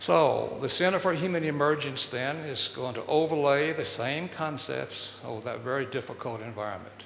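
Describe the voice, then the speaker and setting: Speaking with a Texan accent, a man talks at a moderate pace with a fairly high pitch and ordinary pitch variation. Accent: Texan American English. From Texas. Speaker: speaker on human development. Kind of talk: public talk.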